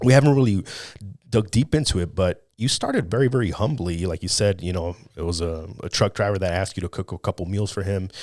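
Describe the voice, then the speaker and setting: At a very fast pace, a man speaks with a very deep, low pitch and ordinary pitch variation on a very clean recording with a silent background. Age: 30s. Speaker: podcast host. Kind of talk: interview. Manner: casual.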